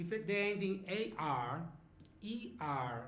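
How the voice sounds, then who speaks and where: The speaker is a man whose pitch varies in an ordinary way. His voice echoes audibly around the room. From Brazil, Sao Paulo. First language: Portuguese. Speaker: language teacher. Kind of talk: lesson. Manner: slow, explanatory with fillers.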